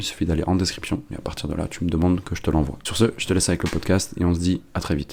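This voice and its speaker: A man's very deep, low voice at a very fast pace, with fairly even intonation and noticeable background noise. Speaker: podcast host and sales agency founder. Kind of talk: scripted podcast intro.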